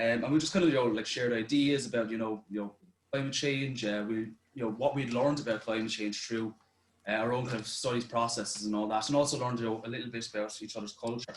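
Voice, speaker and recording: Speaking with an Irish accent, a man talks at a very fast pace in a medium pitch. His intonation is fairly even. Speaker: youth participant. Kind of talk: presentation.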